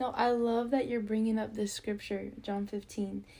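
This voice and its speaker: With an unremarkable speaking voice, a woman talks at a moderate pace, her fairly high pitch showing ordinary variation. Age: 20s. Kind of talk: casual faith chat.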